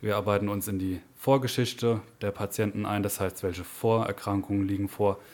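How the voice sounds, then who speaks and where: A man's fairly low, monotone voice with flat intonation at a moderate pace. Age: 20s. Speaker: anesthesia technical assistant. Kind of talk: podcast interview.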